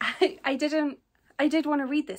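A woman talks at a moderate pace with a fairly bright tone.

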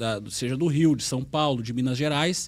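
A man speaking at a fairly slow pace. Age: 40s. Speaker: football pundit. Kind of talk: casual sports discussion. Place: studio. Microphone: studio mic.

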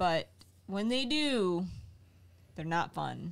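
The speech moves at a fairly slow pace with very wide pitch swings. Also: woman. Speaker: streamer. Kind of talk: casual chat. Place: home room. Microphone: studio mic.

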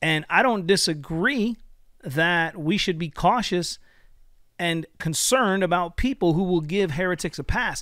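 A man with a high pitch and a bright, sharp tone talks at a fairly slow pace with ordinary pitch variation, recorded dry with no echo against a quiet background. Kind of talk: critical commentary video. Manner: earnest, preacherly. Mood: critical, confrontational. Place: home room. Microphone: studio mic.

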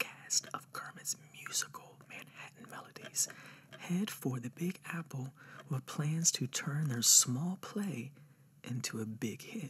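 A man whispers at a very slow pace. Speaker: ASMR creator. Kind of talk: ASMR roleplay. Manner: soft-spoken; relaxed, casual. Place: home room.

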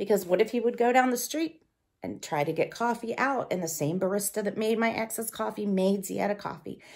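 A woman's lively, fairly quick speech against a quiet background. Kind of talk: confessional to camera. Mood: anxious, dramatic, controlling. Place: home room. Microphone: phone near.

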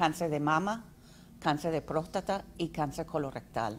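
A woman with an English accent speaks at a fairly slow pace, with ordinary pitch variation. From US. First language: English (speaking Spanish). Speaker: health nonprofit representative; guest. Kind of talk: interview. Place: studio. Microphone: studio mic.

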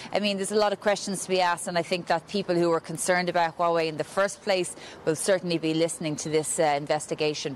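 Her delivery is very fast, with fairly even intonation and a fairly low pitch. Light background noise sits behind this woman. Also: hardly any pauses. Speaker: news correspondent. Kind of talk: live news report. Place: street. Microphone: handheld.

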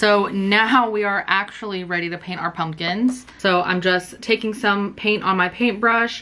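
With a bright, sharp tone, a woman talks at a fairly slow pace and with fairly even intonation.

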